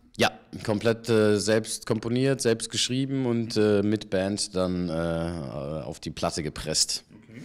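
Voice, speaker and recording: Very slowly, a man speaks at a fairly low pitch with lively intonation. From Germany (Paderborn, San Francisco, Ludwigsburg). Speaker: actor and voice actor. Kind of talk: casual interview. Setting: theatre bar.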